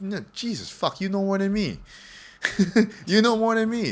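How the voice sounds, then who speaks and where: Moderate pace, ordinary pitch variation and an American accent. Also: man. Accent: American-ish. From Singapore. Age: 20s. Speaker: podcast guest. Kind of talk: casual chat.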